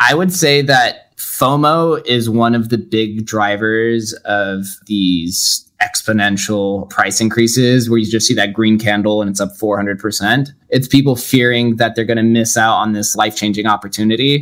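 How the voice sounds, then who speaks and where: A man talks in an ordinary speaking voice at a medium pitch with ordinary pitch variation. His pace is fairly slow, with hardly any pauses. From Las Vegas, Nevada. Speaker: podcaster and entrepreneur. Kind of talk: interview.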